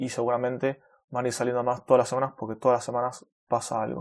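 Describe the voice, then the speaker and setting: A man talks at a very fast pace. He speaks with a Rioplatense accent. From Argentina, Buenos Aires. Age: 30s. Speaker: web developer and podcast host. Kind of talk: casual solo podcast monologue. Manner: natural, unscripted with fillers.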